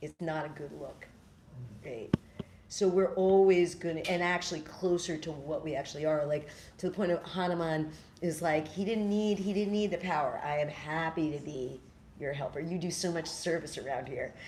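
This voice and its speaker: Here a woman with a normal speaking voice talks in an American accent. Her pitch is fairly low, her intonation fairly even, and her pace moderate. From New York City. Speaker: spiritual teacher and storyteller. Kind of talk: talk with audience Q&A.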